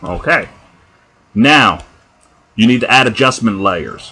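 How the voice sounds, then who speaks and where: The voice is bright and sharp in tone. It comes with a New Jersey accent. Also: man. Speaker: tutorial maker. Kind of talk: software tutorial. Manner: casual, conversational.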